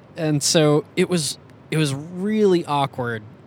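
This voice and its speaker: Ordinary pitch variation runs through a man's voice with an American accent. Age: 30s. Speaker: musician and podcast co-host. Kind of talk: interview. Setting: in a car.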